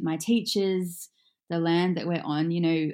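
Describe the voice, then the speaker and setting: The speaker is a woman with a dark, mellow tone. Her pitch rises and falls in an ordinary way. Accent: Australian. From Australia, Gold Coast. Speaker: yoga teacher. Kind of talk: casual chat.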